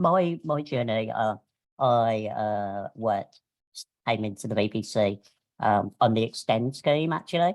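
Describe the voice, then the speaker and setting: Speaking with a Birmingham accent, this voice moves at a fairly slow pace. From Birmingham, England. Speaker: media professional. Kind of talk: webinar panel talk. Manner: hesitant, many fillers.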